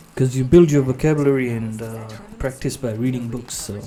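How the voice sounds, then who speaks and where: Over music in the background, a man speaks at medium pitch with ordinary pitch variation. Room echo is audible. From Fiji. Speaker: forex day trader. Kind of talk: livestream commentary while trading. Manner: halting.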